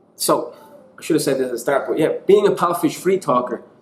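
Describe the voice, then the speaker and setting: Someone with an Irish accent speaks over music in the background. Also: man. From Ireland. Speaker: online English teacher. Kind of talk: tutorial. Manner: animated.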